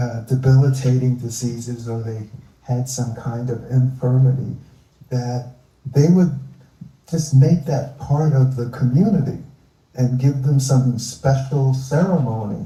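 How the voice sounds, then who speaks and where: With audible room echo, a man at a medium pitch speaks at a fairly slow pace with fairly even intonation. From US Northeast, Philadelphia. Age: 70s. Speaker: environmentalist. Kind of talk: live onstage interview.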